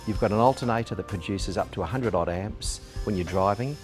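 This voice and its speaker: A man's fairly low voice over clear background music. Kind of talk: tutorial. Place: workshop.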